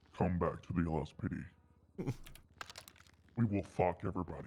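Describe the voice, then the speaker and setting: Putting on a character voice, a man talks at a moderate pace in a very deep, low pitch with ordinary pitch variation. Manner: menacing.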